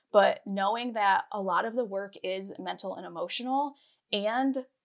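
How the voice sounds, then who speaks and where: A woman with an American accent speaks at a moderate pace in a fairly high pitch with ordinary pitch variation. The recording is very clean, with a silent background. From Pennsylvania, small town. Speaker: anti-diet coach. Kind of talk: podcast interview.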